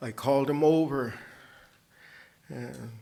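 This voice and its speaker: A man talks in a fairly high voice with a Cheyenne accent. The room echo is audible. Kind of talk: anecdote; award acceptance speech.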